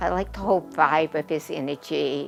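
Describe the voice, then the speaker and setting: With music behind it, a voice talks at a moderate pace. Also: woman. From Boston area, Massachusetts. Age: 70s. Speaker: orthodontic patient. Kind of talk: testimonial interview. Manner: hesitant, many fillers.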